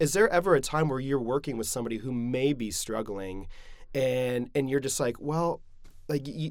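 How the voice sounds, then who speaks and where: An unremarkable speaking voice at a moderate pace on a very clean recording with a silent background. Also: man. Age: 30s. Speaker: podcast host. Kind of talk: interview, casual chat.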